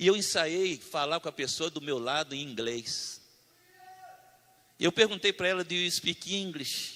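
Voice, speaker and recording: Spoken in a strong Brazilian accent, the voice moves at a fairly slow pace. It has long, frequent pauses and ordinary pitch variation. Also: man, high pitch for a man. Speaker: preacher. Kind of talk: sermon.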